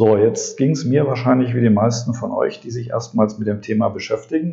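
Somewhat breathy and medium in pitch, this man talks at a moderate pace. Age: 40s. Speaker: podcast host and drinking water consultant. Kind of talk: monologue podcast. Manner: animated; frequent filler sounds.

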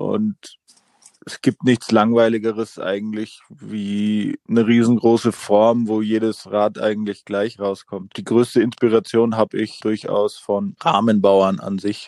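Very slow delivery in a dark, mellow tone with monotone, flat intonation and a dry, close sound with no echo. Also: man, fairly low pitch for a man. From Franconia, Fichtelgebirge (Bavaria, Germany). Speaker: bicycle frame designer. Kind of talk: interview.

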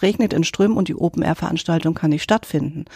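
A woman's fairly low, dark, mellow voice with ordinary pitch variation, on a very clean recording with a silent background. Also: dry, close sound with no echo. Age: 60s. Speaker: insurance specialist. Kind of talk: expert interview.

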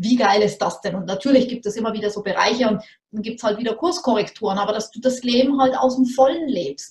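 A woman's somewhat breathy voice, fairly high in pitch, with a fairly quick pace and ordinary pitch variation. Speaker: entrepreneur, business coach. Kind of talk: casual interview. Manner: fast.

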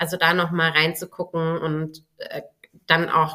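A woman speaks at a fairly low pitch in a bright, sharp tone. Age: 30s. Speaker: business mentor and time management coach. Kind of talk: casual interview.

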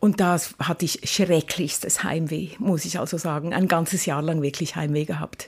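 Noticeable background noise surrounds a woman speaking at a fairly low pitch. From Switzerland, Lucerne. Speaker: university rector. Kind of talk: casual interview. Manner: fast.

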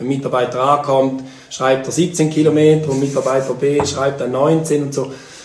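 Against noticeable background noise and audible room echo, a man talks at a fairly slow pace in a medium pitch with monotone, flat intonation. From rural eastern Switzerland. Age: 40s. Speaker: company founder. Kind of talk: interview. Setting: in person at a table. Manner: halting, many repetitions.

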